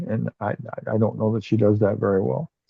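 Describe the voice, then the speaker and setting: The speaker mumbles, soft-spoken and somewhat breathy, at a moderate pace. The sound is dry and close, with no echo. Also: man. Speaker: bible study participant. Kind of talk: group discussion. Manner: mumbling, soft-spoken; halting.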